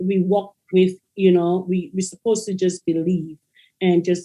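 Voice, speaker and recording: Speaking at a fairly slow pace, a woman uses a medium pitch and a dark, mellow tone with fairly even intonation. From Caribbean. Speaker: educator and author. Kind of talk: interview.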